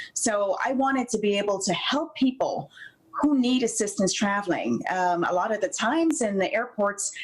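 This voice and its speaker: With noticeable background noise, a woman speaks at a moderate pace with a fairly high pitch, lively intonation and very even loudness. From Jamaica. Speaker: flight attendant and company founder. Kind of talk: TV interview. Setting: video call.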